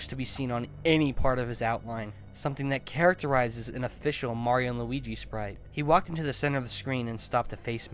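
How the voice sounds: The recording offers a natural reading voice whose pitch varies in an ordinary way.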